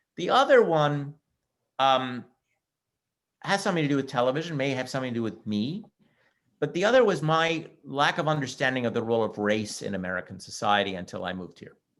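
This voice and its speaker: With a Montreal accent, a man at medium pitch talks at a fairly quick pace, using very wide pitch swings and long, frequent pauses. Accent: Canadian English (Montreal). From Canada, Montreal, Quebec. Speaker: history professor. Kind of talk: webinar interview. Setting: online webinar. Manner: halting, with frequent repetitions.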